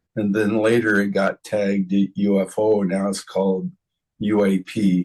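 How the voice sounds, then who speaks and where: The speaker is a man. His pitch sits fairly low. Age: 70s. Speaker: UFO contact researcher. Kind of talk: podcast interview. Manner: halting, with stammered restarts.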